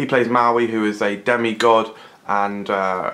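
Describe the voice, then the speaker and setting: Fairly even intonation from a man. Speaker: film reviewer. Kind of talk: movie review commentary. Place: home room. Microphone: phone near.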